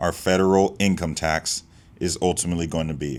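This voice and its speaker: A man speaks at a moderate pace. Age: 20s. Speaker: tax professional, finance youtuber. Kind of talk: tutorial.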